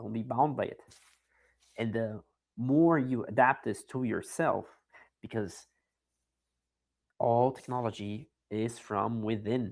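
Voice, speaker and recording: At a very slow pace, a man with a non-native accent speaks at medium pitch. His intonation stays fairly even, broken by long, frequent pauses. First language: not English. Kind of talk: casual chat. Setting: online audio space.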